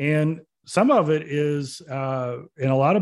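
The recording is very clean, with a silent background. A man speaks in a fairly high pitch with ordinary pitch variation. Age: 50s. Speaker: CEO and motivational speaker. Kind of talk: interview. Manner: animated storytelling.

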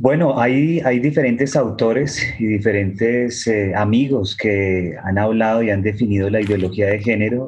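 Speaking at a fairly slow pace with hardly any pauses, a man uses a plain, everyday voice at medium pitch, with ordinary pitch variation and very even loudness. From Colombia. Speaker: author and activist. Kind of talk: panel discussion. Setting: video call.

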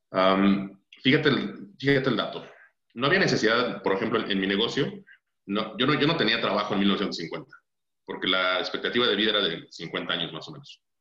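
A man talks at a moderate pace, and audible room echo hangs on his words. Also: fairly low pitch for a man, lively intonation. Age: 30s. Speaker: financial advisor. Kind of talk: casual interview. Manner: halting, many fillers and repetitions.

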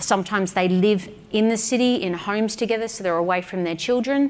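This voice has an Australian accent and ordinary pitch variation. Noticeable background noise runs under it. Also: woman. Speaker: entrepreneur and business mentor. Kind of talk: speech to event audience.

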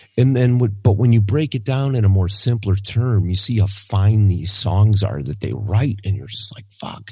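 This man has a fairly low pitch and a dark, mellow tone that is somewhat breathy. He talks at a moderate pace with ordinary pitch variation and hardly any pauses. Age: 40s. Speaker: music podcast co-host. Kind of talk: casual chat.

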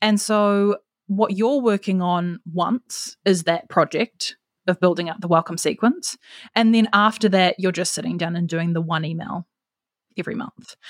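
In a New Zealand accent, a woman speaks at a moderate pace and medium pitch. Her pitch variation is ordinary, and the sound is dry and close with no echo. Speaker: marketing strategist. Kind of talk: casual interview chat. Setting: video call from abroad.

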